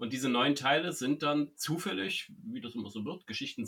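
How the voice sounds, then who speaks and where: Lively intonation marks this man's speech. His voice is fairly high, with a bright, sharp tone. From Saxony, eastern Germany (Zwickau). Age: 40s. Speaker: writer and creativity trainer. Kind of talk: casual interview.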